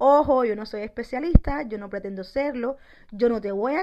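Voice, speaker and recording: With a normal speaking voice, a woman talks at a moderate pace and a fairly high pitch, her pitch varying in an ordinary way. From Cuba, Santiago de Las Vegas (Havana). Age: 30s. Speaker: podcaster. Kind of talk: personal monologue.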